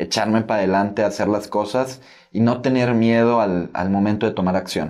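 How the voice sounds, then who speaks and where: A man speaks at a moderate pace in a dark, mellow tone with a fairly low pitch. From Mexico (Tabasco, moved to Monterrey at 12). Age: 20s. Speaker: young entrepreneur and author. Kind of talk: casual interview.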